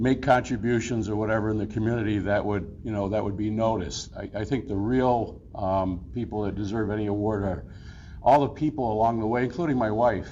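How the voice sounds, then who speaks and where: A man's fairly low pitch with ordinary pitch variation at a fairly quick pace, with audible room echo. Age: 60s. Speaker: award recipient. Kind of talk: acceptance speech. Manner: halting, filler-heavy.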